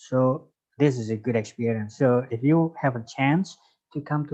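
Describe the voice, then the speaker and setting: In an Indonesian accent, a man speaks with a dark, mellow tone at a medium pitch. His pace is fairly slow. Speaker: lecturer. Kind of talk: lecture. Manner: halting.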